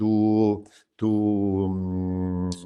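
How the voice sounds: A man speaks with a dark, mellow tone that is also clear and smooth.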